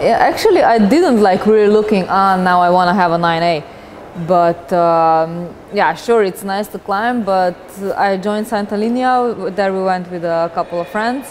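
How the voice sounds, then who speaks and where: A Slovenian accent at a moderate pace, ordinary pitch variation, noticeable background noise behind it. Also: woman, medium pitch for a woman. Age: 20s. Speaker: professional rock climber. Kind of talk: interview. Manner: halting.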